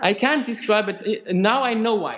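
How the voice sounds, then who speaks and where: A man talks with a non-native accent. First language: not English. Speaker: author and guitarist hosting a live stream. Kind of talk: live-stream interview. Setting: live YouTube broadcast. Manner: halting.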